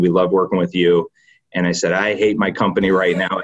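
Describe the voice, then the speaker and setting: Fairly low-pitched and fairly even in intonation, a man with a slight Michigan accent speaks at a fairly quick pace. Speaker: company founder and president. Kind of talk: podcast interview. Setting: video call.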